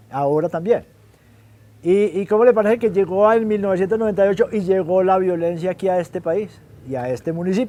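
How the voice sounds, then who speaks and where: At a fairly quick pace, a man speaks in a high pitch with a dark, mellow tone. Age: 60s. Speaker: retired teacher and local newspaper publisher. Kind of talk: interview testimony. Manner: halting.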